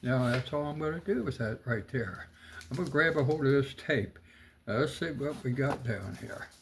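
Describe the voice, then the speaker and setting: Over noticeable background noise, a man with a medium pitch talks at a moderate pace in a relaxed tone, his pitch varying in an ordinary way. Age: 80s+. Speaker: painting tutorial host. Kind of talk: tutorial. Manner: halting, many fillers; relaxed, casual.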